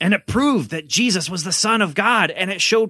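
A man with a high voice projects loudly in a bright, sharp tone, his pitch swinging very widely, on a very clean recording with a silent background. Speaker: pastor and podcast host. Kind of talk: kids' family podcast hosting and scripted skit.

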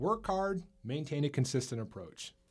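A man's fairly high, somewhat breathy voice with a dark, mellow tone and very wide pitch swings, at a moderate pace, in a very clean recording with a silent background. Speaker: podcast host. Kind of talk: casual podcast chat.

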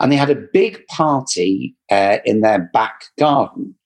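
Intonation here is lively. The voice comes with an English accent. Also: man. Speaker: credit repair specialist. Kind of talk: interview answers, explanatory talk. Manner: preachy, animated.

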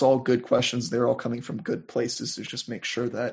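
A man with an American accent speaks at a moderate pace, his voice carrying a slightly husky edge.

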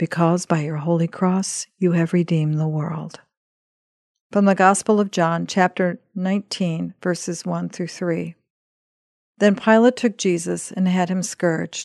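An ordinary speaking voice talks at a fairly slow pace with fairly even intonation, the sound dry and close with no echo. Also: woman, fairly low pitch for a woman. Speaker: podcast host and scripture reader. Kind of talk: scripted devotional reading of scripture and prayer. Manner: solemn, reverent, measured.

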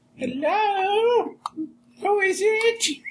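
An extremely high pitch marks this voice. It is a put-on character voice.

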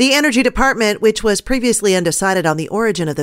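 On a very clean recording with a silent background, a woman speaks. Her pitch swings very widely. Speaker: radio news anchor. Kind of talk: radio newscast reading headlines, stories and sponsor reads. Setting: studio. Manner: crisp, brisk news-desk delivery with occasional wry editorial asides.

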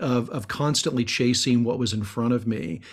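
A man speaks in an ordinary speaking voice of medium pitch with ordinary pitch variation. The recording is very clean with a silent background. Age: 50s. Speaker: executive coach and author. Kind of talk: casual interview.

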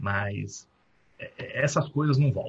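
A man's somewhat breathy voice, its pitch variation ordinary. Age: 30s. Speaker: recruiter and company founder. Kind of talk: guest talk at university event.

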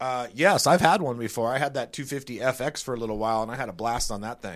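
An unremarkable speaking voice from a man, medium in pitch with ordinary pitch variation and a fairly quick pace, on a very clean recording with a silent background. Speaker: test rider. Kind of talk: casual bike review chat. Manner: joking, self-deprecating.

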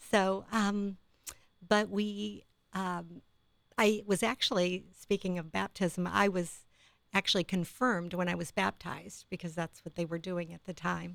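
With an American accent, a woman speaks at a fairly slow pace and fairly low pitch. She has a plain, everyday voice and fairly even intonation. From Ohio, Akron. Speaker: nurse. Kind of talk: casual chat.

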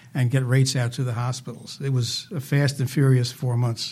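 With an American accent, a man talks at a moderate pace in a somewhat breathy, medium-pitched voice on a very clean recording with a silent background. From New Jersey, US. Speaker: retired healthcare finance advisor and hospital board member. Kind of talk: interview, historical retrospective.

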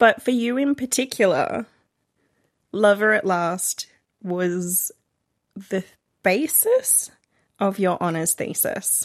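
Very slow, with long, frequent pauses, a woman's medium-pitched voice with an Australian accent and lively intonation, in a very clean recording over a silent background. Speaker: romance reader, podcast guest. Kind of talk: casual chat.

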